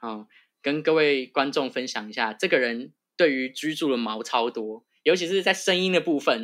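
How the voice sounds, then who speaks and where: With an ordinary speaking voice, a man talks at a fairly high pitch and moderate pace, with lively intonation, on a very clean recording with a silent background. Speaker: public health graduate. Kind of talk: casual interview chat.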